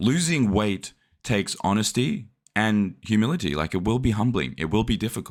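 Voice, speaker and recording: In a very clean recording with a silent background, a man with an Australian accent talks at a fairly low pitch with lively intonation. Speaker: fitness vlogger. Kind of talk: vlog narration.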